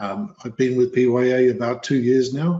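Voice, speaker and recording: In a slight British accent, a man speaks at a moderate pace and medium pitch with ordinary pitch variation. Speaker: healthcare consultant. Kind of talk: webinar presentation.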